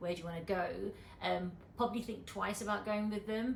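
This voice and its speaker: A somewhat breathy woman's voice with ordinary pitch variation and audible room echo. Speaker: travel vlogger. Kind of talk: casual chat. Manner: voice cuts through noise.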